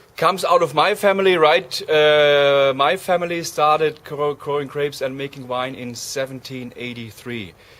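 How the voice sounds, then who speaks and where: Noticeable background noise sits behind a man with a fairly high pitch. He talks at a moderate pace with hardly any pauses. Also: ordinary pitch variation. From Germany. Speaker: winemaker. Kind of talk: interview. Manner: halting.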